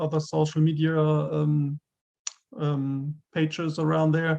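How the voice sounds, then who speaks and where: A man's fairly high voice with a German accent. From Germany. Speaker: gamebook author. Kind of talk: interview. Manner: halting.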